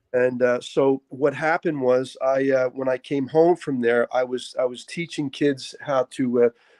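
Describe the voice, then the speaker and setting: Moderate-paced speech with ordinary pitch variation, dry and close with no echo, over a quiet background. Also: man. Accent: Philadelphia. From Philadelphia, Kensington. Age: 60s. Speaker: pastor and boxing coach. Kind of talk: interview.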